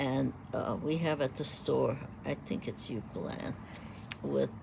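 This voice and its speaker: A woman is speaking. Her tone is relaxed. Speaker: knitting vlogger. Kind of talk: casual tutorial. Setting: at home in pajamas with coffee. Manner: relaxed, hesitant with many fillers.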